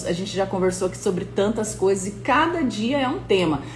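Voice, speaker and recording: Her tone is animated and her intonation lively as this woman speaks. There is noticeable background noise and audible room echo. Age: 30s. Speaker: motivational coach. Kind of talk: live-stream motivational talk. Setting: live stream.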